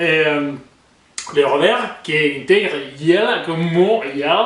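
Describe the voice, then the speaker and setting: A man speaks at a very slow pace. The recording has audible room echo and noticeable background noise. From Spain. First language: Spanish (speaking French). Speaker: YouTuber, commentator. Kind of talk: casual vlog commentary. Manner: hesitant, many fillers.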